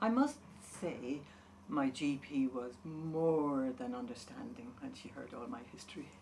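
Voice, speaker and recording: A woman's very deep, low pitch at a fairly slow pace, with very wide pitch swings, big swings in loudness, audible room echo and noticeable background noise. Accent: Irish. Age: 70s. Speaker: patient. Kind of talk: testimony.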